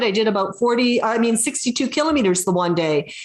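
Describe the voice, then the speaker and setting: A woman's normal speaking voice at a fairly high pitch, fairly quick, with lively intonation. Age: 60s. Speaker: adventurer and inspirational speaker. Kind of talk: interview on video call. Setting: video call.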